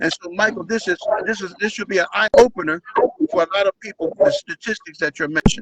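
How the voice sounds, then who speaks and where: With an American accent, a man talks very fast in a high voice, his pitch varying in an ordinary way. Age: 70s. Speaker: community health show host, local politician. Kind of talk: live online talk show.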